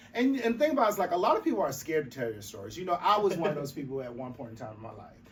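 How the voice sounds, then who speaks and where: A man with an American accent, high-pitched and animated, at a very fast pace with hardly any pauses, very wide pitch swings and big swings in loudness, over noticeable background noise. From US South, rural South Carolina. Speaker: advocacy organization representative. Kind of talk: podcast interview.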